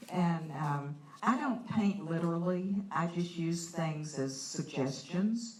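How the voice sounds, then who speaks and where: A woman speaks very slowly at a fairly low pitch with ordinary pitch variation. There is noticeable background noise and audible room echo. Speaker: watercolor artist giving a painting demo. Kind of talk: live art demonstration. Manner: loud.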